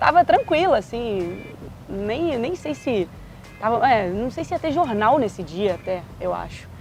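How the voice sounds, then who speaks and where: In a Minas Gerais accent, a woman with a fairly high pitch speaks at a fairly slow pace with very wide pitch swings while music plays in the background. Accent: Minas Gerais (mineiro). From Minas Gerais, Brazil. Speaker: sports journalist. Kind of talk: interview.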